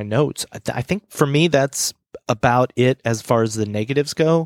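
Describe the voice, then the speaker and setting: With an animated tone and a fairly quick pace, a man talks at a medium pitch with ordinary pitch variation in a dry, close sound with no echo. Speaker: podcast co-host. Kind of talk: casual chat. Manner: animated, jokey.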